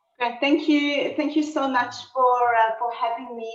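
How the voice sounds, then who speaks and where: A woman speaks at a fairly slow pace in a strong South African accent, her pitch high. Room echo is audible. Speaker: history lecturer, optometrist. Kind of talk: lecture. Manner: halting, many fillers.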